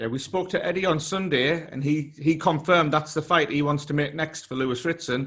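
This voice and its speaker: A man with a British accent talks at a fairly quick pace with hardly any pauses, using fairly high pitch and fairly even intonation on a very clean recording with a silent background. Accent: regional UK. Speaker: boxing interviewer. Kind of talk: interview.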